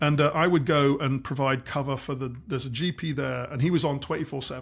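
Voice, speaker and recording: This man speaks at a very fast pace, somewhat breathy. His pitch is fairly high and his intonation fairly even. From Scotland, Aberdeen. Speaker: doctor and health tech consultant. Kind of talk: interview. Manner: repeats words, hesitant starts.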